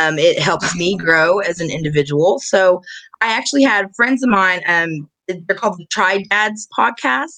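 Using a plain, everyday voice of medium pitch, a woman speaks with lively intonation. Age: 30s. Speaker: musician and bus driver. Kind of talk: casual interview.

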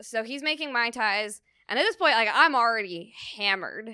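With a Californian accent, a woman speaks in a fairly high pitch and a bright, sharp tone on a very clean recording with a silent background. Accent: General American (Californian). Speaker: comedian. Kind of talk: casual chat.

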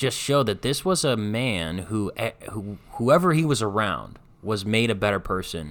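A man with a plain, everyday voice speaks at a moderate pace with lively intonation and fairly low pitch, in a very clean recording over a silent background. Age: 20s. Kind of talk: casual chat.

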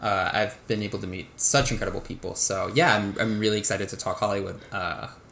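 With an American accent, a man talks at a very fast pace in a fairly low pitch. Room echo is audible. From Texas, Waco. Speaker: novelist. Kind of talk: casual interview.

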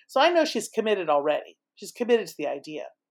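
Lively intonation marks a woman speaking with an American accent in a very clean recording against a silent background. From California, Saratoga. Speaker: novelist, retired teacher. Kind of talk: interview chat.

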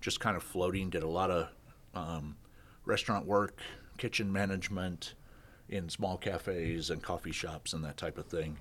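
The speaker has a Midwestern US accent. The recording is very clean, with a silent background. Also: man. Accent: US Midwest. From Kansas. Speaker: business owner. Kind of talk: casual interview.

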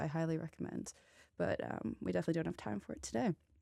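An unremarkable speaking voice from a woman, fairly low in pitch and fairly quick, on a very clean recording with a silent background. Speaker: student radio host. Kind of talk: radio DJ patter introducing songs in a relaxed, scene-setting style. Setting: studio. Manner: laid-back and conversational, with frequent filler words and restarts; warm, inviting storyteller painting a scene for listeners.

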